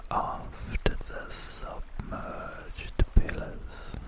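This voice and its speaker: A whispered voice is heard. Noticeable background noise runs behind it. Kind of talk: ASMR video game wander narration.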